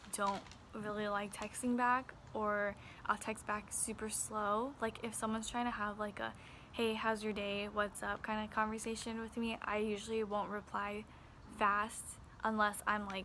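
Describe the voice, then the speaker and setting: A quiet woman's voice, fairly high in pitch, monotone and flat, at a moderate pace. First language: Chinese and Vietnamese. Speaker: beauty vlogger. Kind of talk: casual vlog talk. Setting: outdoors in backyard.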